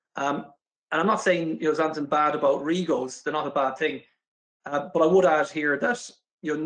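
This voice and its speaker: In an Irish accent, a man talks at a fairly quick pace. His pitch is fairly high and his intonation fairly even. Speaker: renewable energy specialist. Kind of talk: corporate video interview. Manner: hesitant, frequent fillers.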